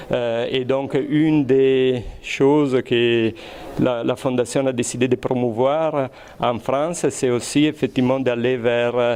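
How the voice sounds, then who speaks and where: Over noticeable background noise, the speaker talks very slowly with an Italian accent, in a monotone, flat delivery at very even loudness. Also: man. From Italy. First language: Italian (speaking French). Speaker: research scientist. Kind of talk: interview. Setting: high school classroom or lab. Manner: hesitant, many fillers and repetitions.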